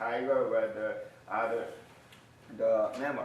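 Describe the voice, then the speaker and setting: With a Korean accent, a man talks at a fairly slow pace amid audible room echo. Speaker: university lecturer. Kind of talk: lecture. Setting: classroom. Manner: halting.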